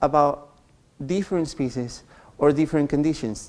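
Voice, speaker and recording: Against a silent background on a very clean recording, a man talks at a moderate pace. His voice is fairly high in pitch, with a dark, mellow tone and fairly even intonation. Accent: Spanish. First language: Spanish. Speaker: genetics researcher. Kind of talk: lecture. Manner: halting.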